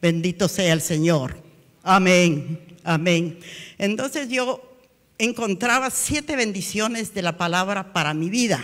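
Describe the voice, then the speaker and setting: Over a quiet background, a woman talks very slowly with lively intonation. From Guatemala. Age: 80s+. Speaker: preacher. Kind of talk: sermon. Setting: church. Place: church. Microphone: handheld.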